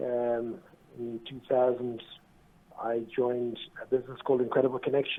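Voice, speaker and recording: In an Irish accent, the speaker uses monotone, flat intonation at a moderate pace, with long, frequent pauses and big swings in loudness. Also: man, medium pitch for a man. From Ireland, Dublin. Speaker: business executive. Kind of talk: radio interview. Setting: phone call. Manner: halting.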